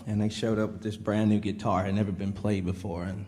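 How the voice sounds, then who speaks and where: With a Southern US accent, a man talks in a fairly low pitch and a dark, mellow tone. Room echo is audible. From Mississippi, Meridian. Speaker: country musician. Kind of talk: casual chat on stage.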